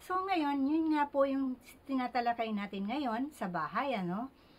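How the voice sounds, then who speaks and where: Soft-spoken, a woman talks with lively intonation. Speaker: feng shui consultant. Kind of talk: tutorial. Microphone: speaking very close to mic.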